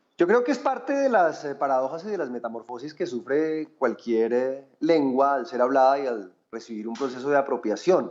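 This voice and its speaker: The speaker talks at a fairly quick pace with a Bogotá accent. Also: man. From Colombia, Bogotá. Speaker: writer. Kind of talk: TV interview. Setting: TV program.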